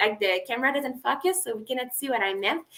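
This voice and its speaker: A woman with a non-native accent projects her high, bright, sharp voice with lively intonation. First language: not English. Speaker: weaving YouTuber. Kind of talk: live stream chat with viewers. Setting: live video stream. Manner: hesitant, many fillers.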